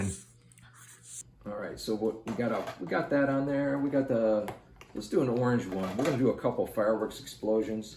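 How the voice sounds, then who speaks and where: Soft-spoken, a man talks at a fairly quick pace with fairly even intonation. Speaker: art tutorial youtuber. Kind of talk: tutorial. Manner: calm.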